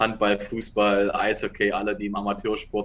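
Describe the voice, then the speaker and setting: The pitch of this man's voice is fairly low. His pace stays moderate. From Saxony, Dresden. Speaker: American football head coach. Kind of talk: interview.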